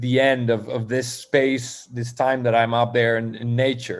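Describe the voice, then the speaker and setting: Moderate-paced speech in a Spanish accent. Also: man. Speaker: poet. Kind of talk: interview. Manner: halting.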